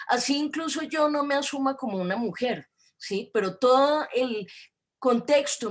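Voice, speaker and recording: A woman with a Bogotá accent, lively intonation and a moderate pace. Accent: Bogotá Colombian Spanish. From Colombia, Bogotá. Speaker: academic lecturer on gender studies. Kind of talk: lecture. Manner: hesitant, many fillers.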